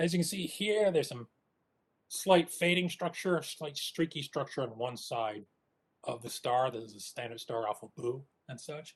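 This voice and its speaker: A somewhat breathy, fairly high-pitched male voice with lively intonation and big swings in loudness. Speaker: astronomer. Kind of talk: technical talk. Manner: fast.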